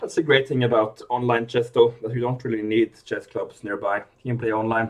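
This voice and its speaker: A man in a Norwegian accent at a fairly quick pace, with monotone, flat intonation. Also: medium pitch for a man. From Norway. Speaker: chess commentator. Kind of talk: live commentary. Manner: halting, with repeated words.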